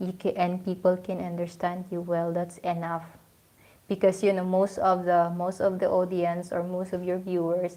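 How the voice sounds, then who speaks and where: A woman speaks with a Filipino accent at a medium pitch and moderate pace. Her tone is dark and mellow, her intonation monotone and flat. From Philippines. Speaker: vlogger. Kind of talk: casual live stream talk. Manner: hesitant.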